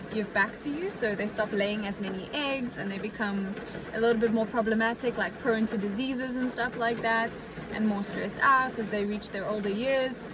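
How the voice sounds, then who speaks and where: At a moderate pace, a woman speaks in a fairly high voice with fairly even intonation, amid noticeable background noise and audible room echo. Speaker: aspiring farmer vlogger. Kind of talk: casual vlog talk. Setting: outdoors in the rain. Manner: loud; hesitant, many fillers.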